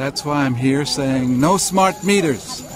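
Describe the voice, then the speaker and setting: Noticeable background noise behind a man speaking at a medium pitch. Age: 60s. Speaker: protester. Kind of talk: street interview.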